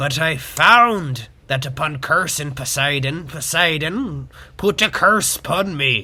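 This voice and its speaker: A man puts on a theatrical character voice, fairly high in pitch and delivered at a fairly slow pace. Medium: audio drama. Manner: hammy, theatrical pirate talk.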